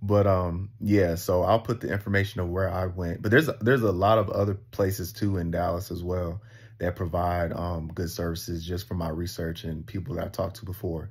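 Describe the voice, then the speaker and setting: A man speaks at a fairly quick clip with hardly any pauses, his pitch very deep and low. The voice is somewhat breathy, and the intonation stays fairly even. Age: 30s. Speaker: vlogger. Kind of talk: personal vlog monologue. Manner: hesitant, many fillers.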